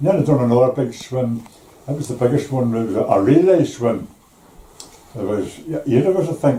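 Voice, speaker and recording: With a Belfast accent, a man talks at a moderate pace and medium pitch amid noticeable background noise. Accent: Belfast Northern Irish. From Northern Ireland, East Belfast. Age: 80s+. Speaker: retired shipyard worker. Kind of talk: interview. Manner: halting.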